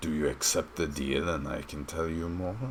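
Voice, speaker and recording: A man puts on a character voice pitched very deep and low, speaking at a moderate pace. Background noise is clearly audible. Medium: actual play. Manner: slow, sly, refers to himself in third person.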